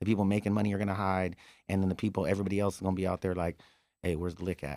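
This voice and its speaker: A man talks at a very fast pace in a very deep, low pitch with a dark, mellow tone. The recording is very clean, with a silent background. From California. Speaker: bully dog breeder. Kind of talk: casual chat. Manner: animated.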